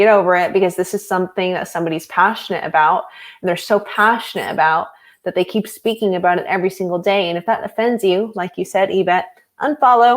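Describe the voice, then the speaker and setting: At a very fast pace, a woman with a medium pitch speaks with ordinary pitch variation in a very clean recording with a silent background. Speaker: former clinic health practitioner. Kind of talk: casual chat. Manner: loud; animated.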